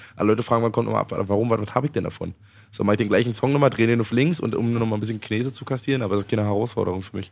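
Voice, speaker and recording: Speaking at a very fast pace, a man keeps his intonation fairly even. His voice sits at a medium pitch. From eastern Germany. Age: 30s. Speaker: rapper. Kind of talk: casual chat.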